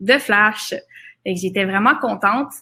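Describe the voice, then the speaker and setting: A woman's fairly high, bright, sharp voice at a moderate pace with ordinary pitch variation, on a very clean recording with a silent background. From Quebec, Laurentides. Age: 20s. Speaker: photographer. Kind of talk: seminar presentation. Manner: hesitant, many fillers.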